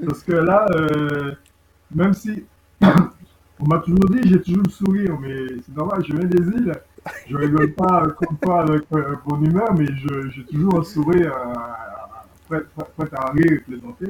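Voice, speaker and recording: A man's fairly high voice at a fairly slow pace, with ordinary pitch variation and big swings in loudness. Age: 60s. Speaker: bass student. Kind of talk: testimony. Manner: halting.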